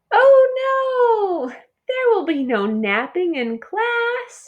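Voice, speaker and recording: Using a put-on character voice, a woman speaks very slowly in a squeaky, extremely high pitch. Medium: read story. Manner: chirpy, enthusiastic.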